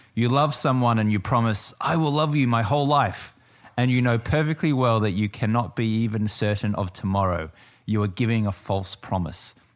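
Against a quiet background, a man with an Australian accent talks at medium pitch and a moderate pace with ordinary pitch variation. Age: 40s. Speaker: entrepreneur, business partner of host. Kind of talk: casual chat. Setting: home garage studio, streamed live.

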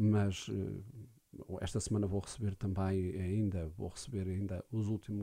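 This man has a dark, mellow tone, a fairly low pitch and a somewhat breathy quality. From Portugal, Alcobaça. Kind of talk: radio interview. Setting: radio studio.

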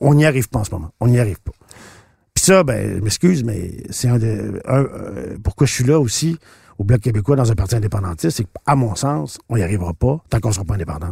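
Speaking at a fairly quick pace, a man with a medium pitch and a dark, mellow, somewhat breathy tone swings his pitch very widely. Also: dry, close sound with no echo. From Quebec, Shawinigan. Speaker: politician and actor. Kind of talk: interview. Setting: studio.

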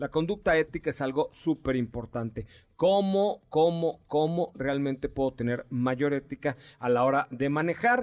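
Using a plain, everyday voice, a man talks at a fairly slow pace with a fairly high pitch and ordinary pitch variation. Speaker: radio host. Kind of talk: live radio show, casual chat. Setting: radio studio.

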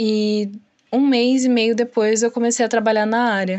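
A woman's ordinary speaking voice, fairly high in pitch, at a fairly slow pace. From São Paulo, Brazil. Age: 20s. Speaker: junior web developer. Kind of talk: interview.

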